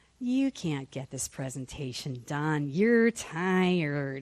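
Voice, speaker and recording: Someone uses a put-on character voice at a low-to-middle pitch, speaking at a very slow pace. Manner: taunting.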